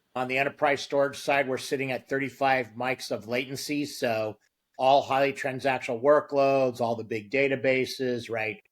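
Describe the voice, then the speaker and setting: A man's medium-pitched voice in a flat monotone. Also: moderate pace. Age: 60s. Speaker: storage company marketing executive. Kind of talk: interview.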